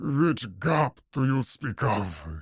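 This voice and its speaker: A man growls in a put-on character voice with very wide pitch swings. The sound is dry and close, with no echo. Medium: read story. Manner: nefarious, perverse, gloating.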